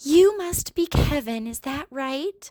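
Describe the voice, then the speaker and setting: In a put-on character voice with lively intonation, the speaker goes at a fairly slow pace, the sound dry and close with no echo. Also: woman. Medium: read story. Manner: polite, hesitant.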